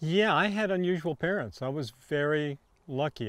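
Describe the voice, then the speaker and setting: A man in a Californian accent, lively in intonation, over a quiet background. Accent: General American (Californian). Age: 70s. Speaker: winemaker. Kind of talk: oral history interview. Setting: video interview.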